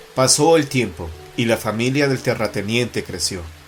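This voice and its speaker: Music plays in the background while a man talks at a moderate pace and medium pitch with lively intonation. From Mexico. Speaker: journalist and writer, horror storyteller. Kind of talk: horror story narration.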